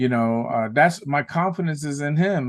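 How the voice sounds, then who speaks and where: With an American accent, a man talks at a moderate pace in a normal speaking voice, fairly high in pitch, over a quiet background. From New York, South Bronx. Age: 60s. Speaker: guest. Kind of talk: casual chat.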